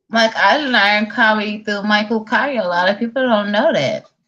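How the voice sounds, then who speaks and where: A woman with a Southern US accent, fairly high in pitch, at a moderate pace with ordinary pitch variation. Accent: country southern. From Chicago, south side, raised by southern-rooted grandparents. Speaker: online talk show host. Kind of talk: casual interview chat.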